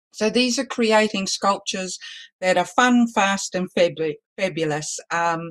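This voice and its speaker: In a New Zealand accent, a woman speaks at a fairly slow pace with ordinary pitch variation. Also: medium pitch for a woman. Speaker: balloon artist instructor. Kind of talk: online class.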